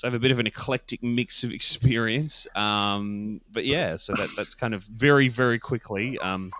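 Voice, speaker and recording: Speaking at a moderate pace with hardly any pauses, a man with an Australian accent uses a medium pitch and ordinary pitch variation. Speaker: podcast producer. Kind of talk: interview. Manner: many fillers and hesitations.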